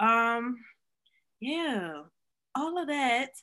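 The recording is very clean, with a silent background. A woman speaks at a high pitch with a bright, sharp tone. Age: 20s. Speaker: podcast co-host. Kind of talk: casual chat.

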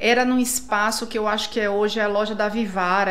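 Amid audible room echo, a woman with a fairly high pitch talks at a fairly quick pace with ordinary pitch variation. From northern Brazil (Tucuruí, Pará). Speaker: architect. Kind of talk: casual interview.

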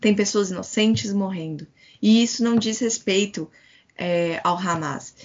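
Speaking in an ordinary speaking voice, a woman goes at a fairly slow pace with a medium pitch and ordinary pitch variation. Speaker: Palestinian youth activist. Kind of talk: interview.

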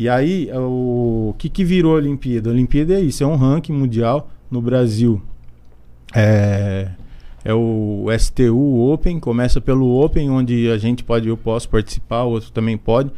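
A dark, mellow tone at a moderate pace. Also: man, medium pitch for a man, ordinary pitch variation. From Brazil, São Paulo state interior. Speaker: skateboarder. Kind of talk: casual interview chat.

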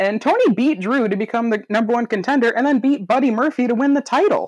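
A woman speaks with a fairly high voice. The background is quiet. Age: 20s. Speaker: wrestling podcast host. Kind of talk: casual chat.

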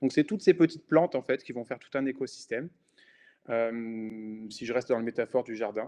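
At a fairly quick pace, a man of medium pitch speaks with a dark, mellow tone, ordinary pitch variation and big swings in loudness, the sound dry and close with no echo. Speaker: podcast host and independent designer. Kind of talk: solo podcast monologue. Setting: browser recording. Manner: spontaneous, many hesitations.

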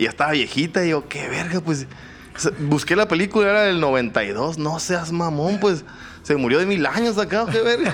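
A man with a Mexican accent, high in pitch and lively in intonation, over noticeable background noise. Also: moderate pace. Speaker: podcast co-host. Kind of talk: casual chat.

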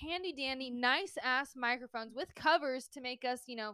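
A woman speaks in a raised, projected voice, high-pitched and animated. Her tone is bright and sharp, with ordinary pitch variation at a moderate pace. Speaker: podcast co-host. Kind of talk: casual chat. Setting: home recording.

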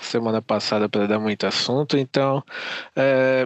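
A man has an ordinary speaking voice, with ordinary pitch variation and a moderate pace. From Brazil. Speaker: fan site editor. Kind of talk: casual chat. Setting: virtual recording session.

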